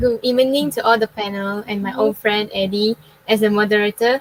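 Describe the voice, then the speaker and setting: In a dry, close recording with no echo but noticeable background noise, a woman speaks at a moderate pace in a fairly high pitch with fairly even intonation. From Malaysia, Klang, Selangor. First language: Chinese. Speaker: university student. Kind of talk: forum panel talk. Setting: online live forum.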